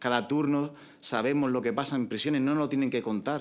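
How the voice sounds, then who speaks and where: A man is speaking. He has an Andalusian accent. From Andalusia, Spain. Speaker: prison officer, union representative. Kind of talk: public speech at panel event. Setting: conference in parliament building. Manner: impassioned, emphatic.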